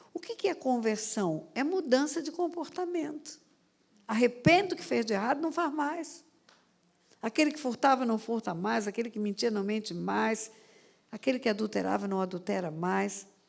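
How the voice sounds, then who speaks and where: This voice carries vocal fry and very wide pitch swings. Delivery is at a moderate pace. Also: woman, fairly high pitch for a woman. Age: 70s. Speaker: pastor. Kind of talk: sermon.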